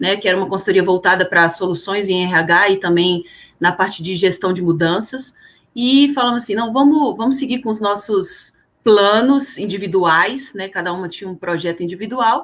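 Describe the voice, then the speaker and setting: A woman in a Brasília accent, medium pitch, ordinary pitch variation, and a moderate pace. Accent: Brasília (candango). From Brasília, Brazil. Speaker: HR consultant and career coach. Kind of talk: podcast interview.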